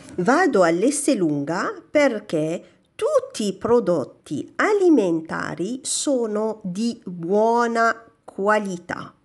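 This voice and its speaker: A woman speaks at a very slow pace in a fairly high pitch. Her pitch swings very widely. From Morocco. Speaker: language teacher. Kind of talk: tutorial. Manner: slow, repeating Italian phrases. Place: shop. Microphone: phone near.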